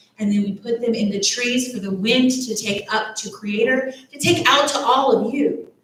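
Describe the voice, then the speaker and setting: A woman with a Texas accent speaks at a moderate pace and a fairly high pitch, with ordinary pitch variation and audible room echo. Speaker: church director of faith development. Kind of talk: children's message in church service. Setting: church service, also streamed online.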